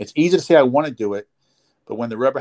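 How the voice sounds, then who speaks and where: Speaking with a New Jersey accent and ordinary pitch variation, a man sounds dry and close, with no echo. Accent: New Jersey American. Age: 50s. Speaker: chiropractor. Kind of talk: interview. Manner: halting.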